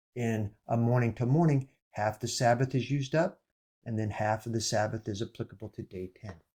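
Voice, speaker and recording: At a fairly quick pace, a man speaks at a medium pitch with a dark, mellow, somewhat breathy tone and ordinary pitch variation. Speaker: bible teacher. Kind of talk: bible study talk.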